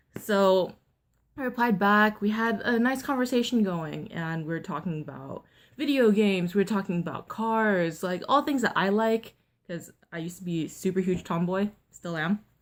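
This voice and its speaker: A woman with a plain, everyday voice at medium pitch, ordinary pitch variation and a moderate pace, on a very clean recording with a silent background. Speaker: vlogger. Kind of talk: storytime vlog. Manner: casual, filler-heavy.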